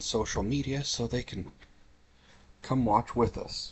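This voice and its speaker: Speaking quietly, a man keeps a moderate pace. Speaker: gaming streamer. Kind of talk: live game stream commentary.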